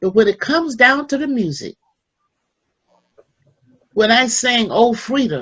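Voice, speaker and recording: Lively in intonation, a woman speaks at a fairly slow pace. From Selma, Alabama, US. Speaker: civil rights activist and gospel singer. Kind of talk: talk to youth at online seminar. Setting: online call.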